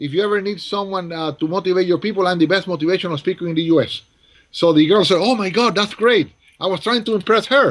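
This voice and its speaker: A man speaks in a high voice with a Spanish accent. His pace is very fast, and the background is quiet. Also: ordinary pitch variation. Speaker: motivational speaker. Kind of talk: casual interview storytelling. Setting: video call. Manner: animated.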